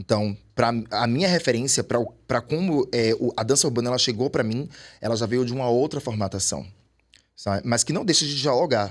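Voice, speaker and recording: A man with a normal speaking voice talks at a fairly quick pace, medium in pitch with ordinary pitch variation. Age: 40s. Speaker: urban dancer. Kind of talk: podcast interview.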